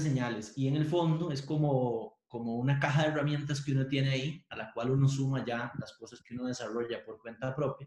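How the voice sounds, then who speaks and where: A man's plain, everyday voice at medium pitch, moderate pace and fairly even intonation. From Costa Rica, Pérez Zeledón. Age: 40s. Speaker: university professor and lawyer. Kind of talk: interview conversation.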